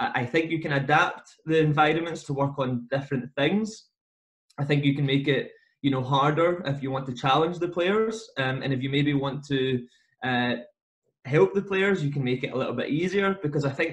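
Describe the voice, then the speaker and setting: A man with a Scottish accent speaks in a somewhat breathy voice at a fairly high pitch and a moderate pace. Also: ordinary pitch variation. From Scotland. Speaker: football coach educator. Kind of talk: podcast interview. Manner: hesitant, many fillers.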